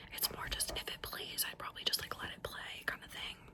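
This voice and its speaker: A woman whispers at a fairly quick pace against noticeable background noise. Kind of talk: casual whispered ramble to camera. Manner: whispered, soft, intimate.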